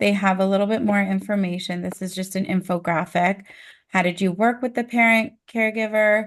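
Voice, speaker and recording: Over a quiet background, a woman speaks at a fairly quick pace and a medium pitch in an unremarkable speaking voice, with fairly even intonation. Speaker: early intervention trainer. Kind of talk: training presentation.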